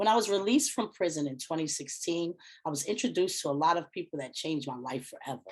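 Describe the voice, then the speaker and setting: The background is quiet. A woman talks at a fairly quick pace with lively intonation. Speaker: award recipient, solitary confinement advocate. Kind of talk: award acceptance speech. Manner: fast.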